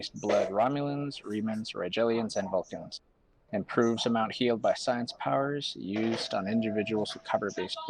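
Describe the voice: Plain reading aloud carries ordinary pitch variation.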